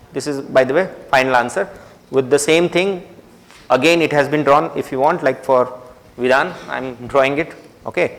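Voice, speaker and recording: Speaking at a moderate pace with an Indian accent, a man uses ordinary pitch variation and long, frequent pauses over noticeable background noise. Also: fairly high pitch for a man. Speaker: university lecturer. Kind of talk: lecture.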